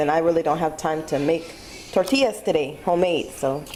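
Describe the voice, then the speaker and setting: Noticeable background noise sits behind the speech. A woman with fairly low pitch talks at a moderate pace with fairly even intonation. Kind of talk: casual cooking tutorial to camera.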